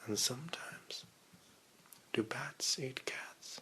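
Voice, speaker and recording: Whispering in a British accent, a man speaks in a soothing tone. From England. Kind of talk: ASMR book reading. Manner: whispered, soothing.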